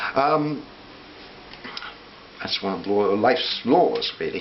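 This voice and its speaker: Noticeable background noise and audible room echo surround the voice. It belongs to a man. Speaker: vlogger. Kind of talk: personal reflective monologue. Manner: hesitant with fillers; fast.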